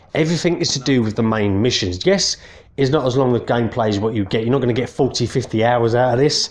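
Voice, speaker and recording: Speaking very fast with an English accent, a man keeps his loudness very even, his medium-pitched voice varying in pitch in an ordinary way. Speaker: gaming youtuber. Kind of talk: casual video game review. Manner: hesitant, many fillers.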